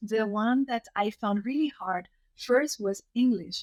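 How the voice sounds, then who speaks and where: A woman's fairly high voice with ordinary pitch variation, in a Spanish accent, in a dry, close sound with no echo. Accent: Spanish accent, persisting. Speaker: writer and consultant. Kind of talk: interview conversation. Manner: hesitant, many fillers.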